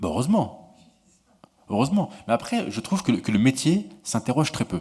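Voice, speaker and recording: This man's voice sits at medium pitch and is somewhat breathy. His pitch swings very widely, and his pace is moderate. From France, Montreuil (Paris suburbs). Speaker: political journalist, author. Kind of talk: Q&A discussion at a book talk. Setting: conference room with audience. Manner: repetitive stammering restarts.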